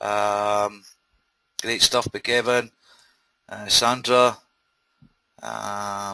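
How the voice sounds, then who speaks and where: In a Scottish accent, a bright, sharp voice speaks at a very slow pace with long, frequent pauses and monotone, flat intonation over a quiet background. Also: man, fairly low pitch for a man. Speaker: webinar host, internet marketer. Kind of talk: live webinar presentation. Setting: online webinar.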